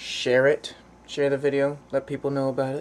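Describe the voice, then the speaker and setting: The speech goes at a moderate pace. There is light background noise. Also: man. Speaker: vlogger. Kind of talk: casual vlog chat. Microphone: phone near.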